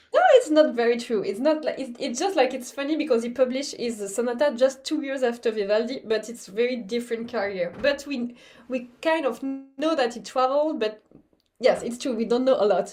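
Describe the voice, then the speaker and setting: A woman speaks at a high pitch and a fairly quick pace in a French accent. Music plays in the background. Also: ordinary pitch variation. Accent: obvious French. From France. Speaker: baroque violinist. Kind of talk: pre-concert talk. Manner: halting, many repetitions.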